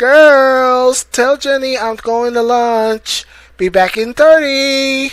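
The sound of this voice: A put-on character voice, fairly high in pitch, delivered at a very slow pace.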